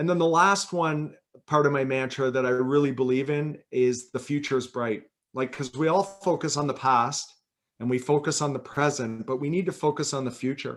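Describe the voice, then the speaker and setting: This man has an unremarkable speaking voice, fairly high in pitch, with ordinary pitch variation and a moderate pace. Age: 50s. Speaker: author and health company president. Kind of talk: casual interview on a live session. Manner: relaxed, conversational.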